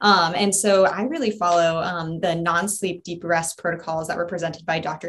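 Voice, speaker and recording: Speaking at a moderate pace with hardly any pauses, a woman has an ordinary speaking voice, a fairly low pitch and fairly even intonation. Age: 20s. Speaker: coach, nonprofit staff. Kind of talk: casual interview.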